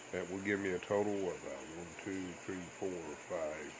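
Noticeable background noise sits behind a man talking. His fairly low voice stays monotone, with flat intonation. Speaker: vlogger. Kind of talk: casual vlog chat. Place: home room. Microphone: phone near.

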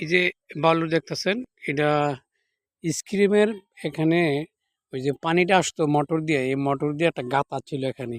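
A man speaks at a fairly high pitch with ordinary pitch variation. The sound is dry and close with no echo, on a very clean recording with a silent background. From Bangladesh, Comilla (Muradnagar). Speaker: local video blogger. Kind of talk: walking video report. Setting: outdoors. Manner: halting.

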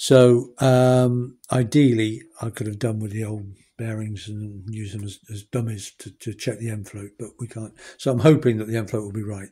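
A man speaks with a dark, mellow tone and a slightly husky edge. His pitch is fairly low and shows little movement. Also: moderate pace.

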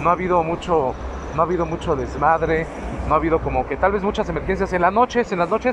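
A man talks at high pitch with ordinary pitch variation. The sound is dry with no echo, and noticeable background noise is present. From Mexico. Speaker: vlogger. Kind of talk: casual vlog. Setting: outdoors on a scooter. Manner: halting with fillers. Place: street. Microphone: phone near.

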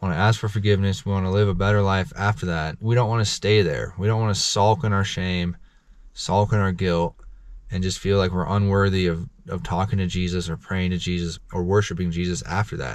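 In a quiet background with dry sound and no echo, a man with a very deep, low pitch speaks at a fairly quick pace and fairly even intonation. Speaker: vlogger sharing faith reflections. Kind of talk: casual vlog sermon-like talk. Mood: earnest, encouraging. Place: car. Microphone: phone near.

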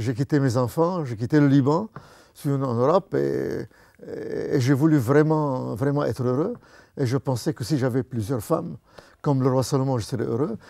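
With ordinary pitch variation, the dark, mellow voice sounds dry with no echo against a quiet background. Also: man, moderate pace. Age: 80s+. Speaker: retired banker turned evangelist. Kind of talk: testimony. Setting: studio. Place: studio. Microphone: lapel.

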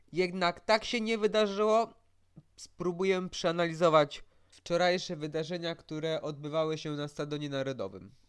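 Speaking at a moderate pace with ordinary pitch variation, the voice comes through on a very clean recording with a silent background. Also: man, high pitch for a man. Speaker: football commentator youtuber. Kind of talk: solo match analysis vlog.

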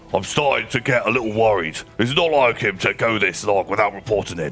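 A man's gruff, grumpy put-on character voice at a medium pitch, with clear music in the background. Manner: grumpy, brusque.

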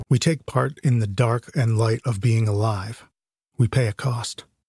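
Music plays behind a man speaking at medium pitch. He talks at a fairly slow pace with ordinary pitch variation. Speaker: podcast host. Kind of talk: podcast trailer narration.

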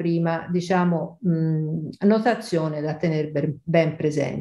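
Against a quiet background with audible room echo, a woman speaks in a dark, mellow tone. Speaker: statistics professor. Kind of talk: interview. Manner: animated. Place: home room. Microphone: webcam.

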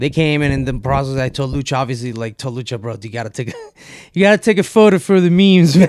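A man talks at a very fast pace, his pitch fairly high with ordinary variation. The sound is dry, with no echo. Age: 30s. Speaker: metal band lead singer; podcast guest. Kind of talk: casual chat. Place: home room. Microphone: studio mic.

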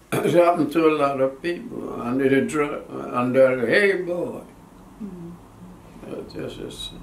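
With audible room echo and light background noise, a man speaks at a fairly slow pace with long, frequent pauses and big swings in loudness. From Jamaica. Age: 80s+. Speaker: war veteran. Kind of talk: interview answer. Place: home room. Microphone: camera far.

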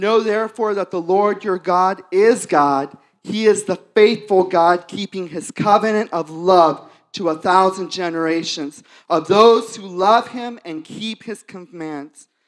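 Over a quiet background, the speaker talks at a fairly slow pace. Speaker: worship leader. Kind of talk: prayer. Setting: church. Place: church. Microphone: handheld.

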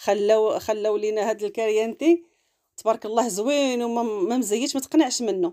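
A woman's fairly high-pitched voice with a dark, mellow tone, ordinary pitch variation and a moderate pace, over a quiet background. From Morocco, Larache (northern Morocco); Morocco. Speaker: cooking and lifestyle vlogger; lifestyle vlogger. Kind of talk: travel vlog narration. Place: open country. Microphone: phone near.

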